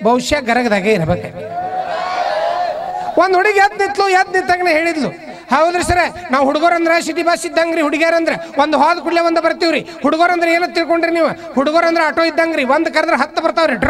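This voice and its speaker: Over noticeable background noise, a man speaks at an extremely high pitch with ordinary pitch variation. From North Karnataka. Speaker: stand-up comedian; school teacher. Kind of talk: stand-up comedy to live audience. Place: stage. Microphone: handheld.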